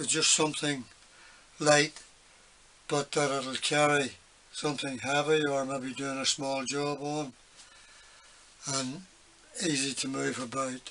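Over light background noise, a man talks at a fairly slow pace in a monotone, flat voice with long, frequent pauses. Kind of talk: casual workshop tip chat. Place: workshop. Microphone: phone near.

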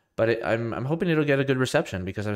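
Speech comes at a very fast pace with lively intonation, on a very clean recording with a silent background. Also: man.

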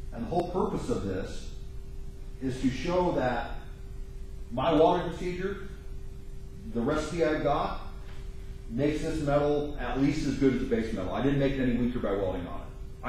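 A man speaks at a moderate pace with ordinary pitch variation and long, frequent pauses. Strong room echo and light background noise are present. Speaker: welding instructor. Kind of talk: lecture. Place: classroom. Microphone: camera far.

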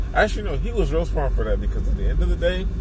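The sound is dry, with no echo. A man speaks over noticeable background noise. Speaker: vlogger. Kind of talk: casual vlog chat, opinion rant. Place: car. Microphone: phone near.

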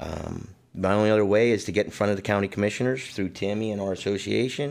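An ordinary speaking voice from a man at a fairly low pitch, with ordinary pitch variation, a fairly quick pace and a quiet background. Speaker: guest. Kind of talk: interview answer. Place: studio.

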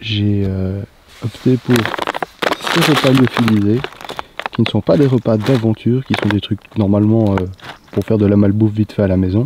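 At a moderate pace, a man talks in a fairly low pitch with a slightly mellow tone and fairly even intonation.

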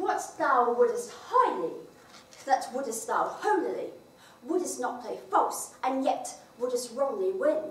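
A woman speaks at a high pitch and a fairly slow pace, with very wide pitch swings. Audible room echo surrounds her voice. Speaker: actor performing monologues. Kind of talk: theatrical monologue. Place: stage. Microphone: camera far.

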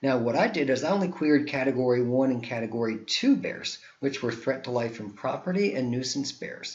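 Fairly quick male speech at a medium pitch, with an American accent and ordinary pitch variation. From New Jersey. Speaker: geography professor. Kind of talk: recorded conference presentation. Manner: slightly halting, self-correcting.

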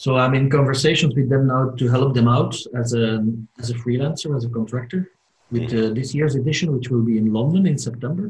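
Somewhat breathy, a man speaks at a medium pitch and a fairly quick pace, with ordinary pitch variation. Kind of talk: casual group video call. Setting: video call. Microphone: video call.

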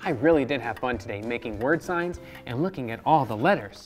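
The speaker is a man who keeps to a moderate pace. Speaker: children's show host. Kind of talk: children's educational show talk. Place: studio. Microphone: lapel.

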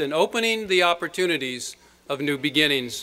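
A man's bright, sharp voice at a moderate pace. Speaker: university president. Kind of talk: commencement address. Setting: stage with audience. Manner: formal. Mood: warm, formal. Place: stage. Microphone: podium.

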